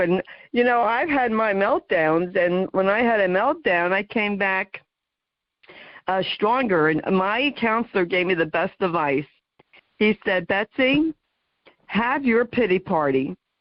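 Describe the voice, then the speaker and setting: With an American accent and an ordinary speaking voice at medium pitch, a woman speaks fairly slowly, her intonation lively and her loudness very even. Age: 60s. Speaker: talk show host, guest. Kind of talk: radio interview chat.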